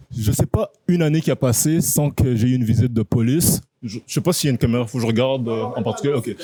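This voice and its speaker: A man's medium-pitched voice, dark and mellow in tone, at a very fast pace in a dry, close sound with no echo. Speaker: guest sharing life story. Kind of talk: casual interview. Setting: restaurant.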